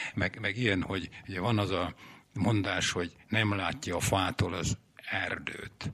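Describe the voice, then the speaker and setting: The tone is bright and sharp. Delivery is very slow, with fairly even intonation. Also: man, very deep, low pitch for a man. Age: 80s+. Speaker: poet. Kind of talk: reading aloud.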